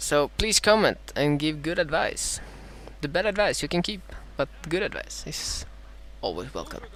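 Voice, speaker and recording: A man with a Swedish accent speaks at a moderate pace, taking long, frequent pauses. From Sweden. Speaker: gaming commentator. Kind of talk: live gameplay commentary. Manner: halting, many fillers.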